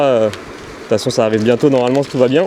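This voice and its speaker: Noticeable background noise sits under this man's voice. His pitch varies in an ordinary way. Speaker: electric scooter YouTuber. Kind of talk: casual chat while riding. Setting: outdoors on a scooter, via helmet intercom. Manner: loud; hesitant, many fillers.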